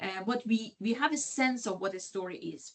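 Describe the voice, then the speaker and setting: With a non-native accent, the woman talks in a fairly high pitch that varies in an ordinary way. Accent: non-native English speaker, audible. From Iran. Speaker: sociology lecturer. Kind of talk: lecture. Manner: halting, many fillers and restarts.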